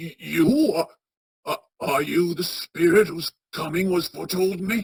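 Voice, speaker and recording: A woman's raspy put-on character voice, fairly low in pitch, with ordinary pitch variation at a moderate pace, in a dry, close sound with no echo. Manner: stammering, frightened.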